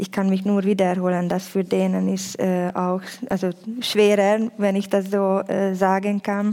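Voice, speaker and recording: Her dark, mellow voice sits at a medium pitch, and this woman speaks in a monotone, flat way with a Hungarian accent. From Hungary. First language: Hungarian (speaking German). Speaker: youth worker. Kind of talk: panel discussion. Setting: stage with audience.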